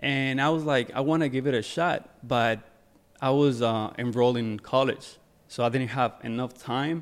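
At a moderate pace, a man with an unremarkable speaking voice talks at a medium pitch with fairly even intonation. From Ecuador, moved to New Jersey at 14. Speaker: fashion photographer and music video director. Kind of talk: casual interview. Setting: studio.

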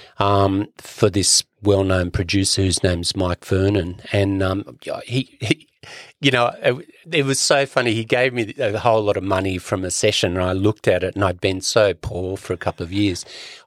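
In an Australian accent, a man talks at a fairly low pitch and moderate pace with ordinary pitch variation. The recording is very clean with a silent background and a dry, close sound with no echo. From Sydney, Australia. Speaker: percussionist and author. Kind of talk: casual interview. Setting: studio.

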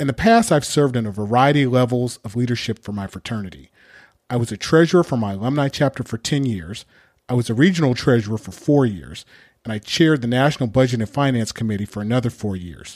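Someone talks at a very fast pace in a Californian accent with ordinary pitch variation. The sound is dry and close with no echo, on a very clean recording with a silent background. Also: man, medium pitch for a man. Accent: Californian American. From Southern California. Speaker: podcast host. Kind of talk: scripted monologue.

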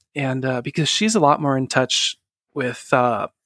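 In an American accent, a man with an unremarkable speaking voice talks at a moderate pace and medium pitch, the sound dry and close with no echo. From northern California. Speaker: podcast guest sharing family story. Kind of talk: personal testimony interview.

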